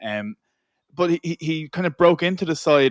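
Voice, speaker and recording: A man with an Irish accent, dry and close with no echo, on a very clean recording with a silent background. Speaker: football podcast co-host. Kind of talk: casual chat.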